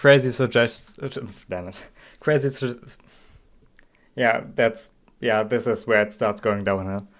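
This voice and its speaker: With a German accent, a man speaks at a fairly slow pace. His intonation stays fairly even, broken by long, frequent pauses. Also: medium pitch for a man. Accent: German accent, noticeable. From Germany. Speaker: game streamer. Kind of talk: live stream commentary. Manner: halting, many fillers and restarts.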